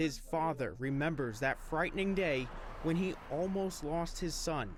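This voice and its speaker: Against audible room echo, a man speaks at a fairly slow pace and fairly high pitch, with very even loudness and ordinary pitch variation. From New York City (Queens). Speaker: TV news reporter. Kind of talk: news report.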